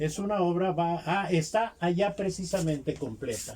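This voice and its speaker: A man speaks at a high pitch and a fairly slow pace. Noticeable background noise is present. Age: 70s. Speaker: textile artisan. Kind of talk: interview storytelling.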